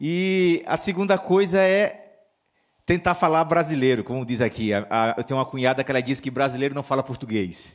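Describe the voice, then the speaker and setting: Recorded very cleanly against a silent background, a man with a northeastern Brazilian accent speaks at a moderate pace, his fairly high voice carrying lively intonation. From northeast Brazil. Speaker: pastor. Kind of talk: sermon.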